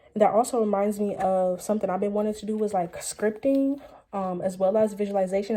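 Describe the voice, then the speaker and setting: A woman speaks at a very fast pace and medium pitch. Noticeable background noise runs behind her. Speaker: tarot and oracle card reader. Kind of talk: casual oracle reading monologue. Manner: animated.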